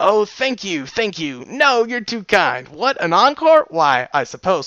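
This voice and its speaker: Putting on a character voice, a man speaks at a fairly slow pace in a high pitch with very wide pitch swings. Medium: read story. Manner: playful, cocky.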